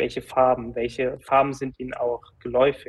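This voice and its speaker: A man's medium-pitched voice at a moderate pace. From Hesse, Germany (Gießen). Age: 20s. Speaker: software company founder. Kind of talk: casual interview.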